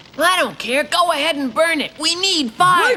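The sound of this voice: A cartoonish character voice comes at an extremely high pitch and a moderate pace. Clear background noise runs behind it.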